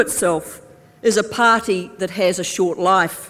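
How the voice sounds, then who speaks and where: A woman talks in an upbeat tone at a fairly slow pace. Noticeable background noise is present. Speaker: politician, Labour Party deputy leader. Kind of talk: political conference speech to delegates. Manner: upbeat, humorous, rousing.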